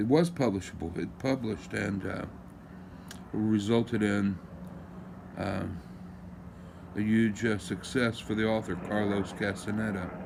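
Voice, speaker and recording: Amid audible room echo, a man with a fairly low pitch and ordinary pitch variation speaks with long, frequent pauses. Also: fairly slow pace. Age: 60s. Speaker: lawyer musing on a topic. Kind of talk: casual monologue. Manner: halting, many fillers.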